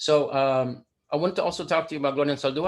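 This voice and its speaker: Fairly high in pitch, a man with an American accent talks at a very fast pace. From Deep South Texas (Rio Grande Valley). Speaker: poet and speaker on language. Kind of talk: lecture. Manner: animated.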